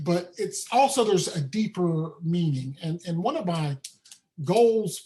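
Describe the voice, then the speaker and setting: A man speaks in a high voice with a strong Southern US accent. His intonation is lively. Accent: thick Southern. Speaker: accessibility trainer. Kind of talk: webinar presentation. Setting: live online event.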